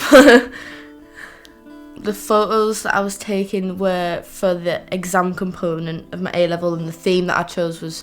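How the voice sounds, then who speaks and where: Against music in the background, a woman speaks in a fairly low pitch with fairly even intonation. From Teesside, north-east England. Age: young. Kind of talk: personal documentary testimony. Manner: casual, reflective.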